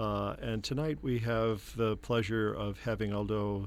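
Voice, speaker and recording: A man speaks in an ordinary speaking voice, pitched fairly low, with fairly even intonation. The recording is very clean, with a silent background. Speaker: professor and radio host. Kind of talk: interview. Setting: studio.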